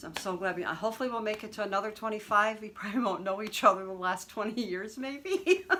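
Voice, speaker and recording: Over noticeable background noise, a woman talks at a very fast pace in a fairly high pitch, animated in tone, with big swings in loudness and ordinary pitch variation. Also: hardly any pauses. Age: 60s. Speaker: cross-stitch vlogger. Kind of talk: casual video vlog. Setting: at home in living room. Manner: chatty, animated.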